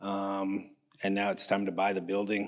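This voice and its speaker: A man speaks at a fairly low pitch in a Canadian accent. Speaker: builder pitching a deal to investors. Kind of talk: pitch presentation. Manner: mumbling; halting with fillers.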